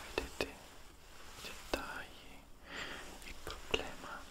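A man is speaking. He is whispering. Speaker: ASMR content creator. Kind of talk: casual talk to camera, product haul show and tell. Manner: whispered, soft-spoken. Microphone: studio mic.

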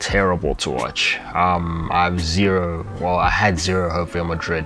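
A man talks at a moderate pace in a low voice with a fairly bright tone. Faint music plays in the background. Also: fairly even intonation.

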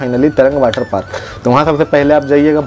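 Faint music plays in the background. The speaker keeps a moderate pace and fairly even intonation. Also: man. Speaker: vlogger. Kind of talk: casual vlog chat. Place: home room. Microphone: lapel.

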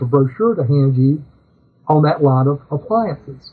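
Lively intonation marks a man's fairly high-pitched voice. He keeps a moderate pace. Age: 60s. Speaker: music store owner; interview guest. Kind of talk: interview. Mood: warm, humorous. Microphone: video call.

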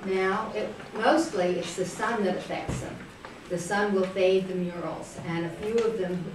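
A woman talks at a fairly slow pace amid audible room echo and noticeable background noise. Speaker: interviewee. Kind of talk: interview answer. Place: classroom. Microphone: camera far.

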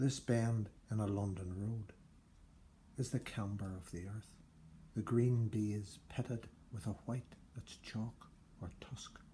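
A dark, mellow, somewhat breathy tone at a very slow pace, with fairly even intonation, long, frequent pauses and light background noise. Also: man, fairly low pitch for a man. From Northern Ireland. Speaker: poet. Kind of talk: poem reading, performed. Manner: measured, literary delivery; formal. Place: home room. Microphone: phone near.

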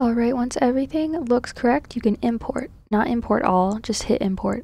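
A woman's quiet, breathy voice, high in pitch with a dark, mellow tone, ordinary pitch variation, a moderate pace and very even loudness. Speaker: game modder. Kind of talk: software tutorial narration.

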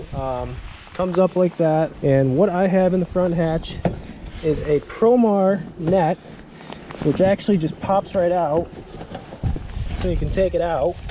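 Against noticeable background noise, the speech moves at a fairly slow pace with long, frequent pauses and a dry sound free of echo. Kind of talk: tutorial walkthrough. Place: open country. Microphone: phone near.

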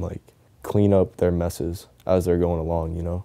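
Soft-spoken and very deep, a man with an American accent talks at a moderate pace in a dark, mellow tone with monotone, flat intonation, the background quiet. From Tampa, Florida. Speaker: professional skateboarder. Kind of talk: documentary interview answer. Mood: soft-spoken, reflective, somber. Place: home room.

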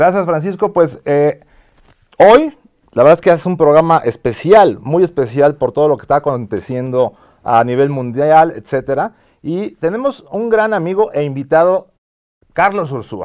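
In a quiet background, a man with an unremarkable speaking voice talks at a fairly slow pace, his pitch fairly high and his intonation lively. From Mexico. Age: 50s. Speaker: TV show host, business executive; TV show host. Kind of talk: interview. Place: studio. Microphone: lapel.

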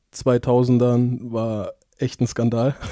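A man's voice carries a dark, mellow tone over a quiet background. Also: dry sound with no echo. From Mainz, Germany; Germany. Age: 20s. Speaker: professional football goalkeeper; podcast guest. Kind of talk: casual interview. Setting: office. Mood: relaxed, anecdotal, humorous. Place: office. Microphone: headset.

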